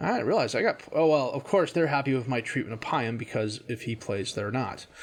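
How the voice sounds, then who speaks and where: Using a normal speaking voice, a man talks fairly quickly at a medium pitch with lively intonation. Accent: American. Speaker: video game streamer. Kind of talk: gameplay commentary. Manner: casual, thinking aloud.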